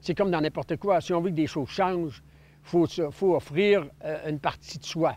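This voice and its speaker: The speaker, a man, talks at a moderate pace. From Quebec, Sacré-Coeur (Côte-Nord). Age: 60s. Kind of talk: personal testimony. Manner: hesitant, many filler words.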